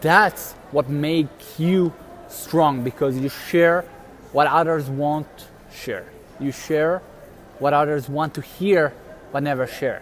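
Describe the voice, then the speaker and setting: Over noticeable background noise, a man with a non-native accent and fairly high pitch speaks at a very slow pace with long, frequent pauses. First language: not English. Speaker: motivational video host. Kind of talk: motivational talk, live stream. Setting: live stream. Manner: casual, halting.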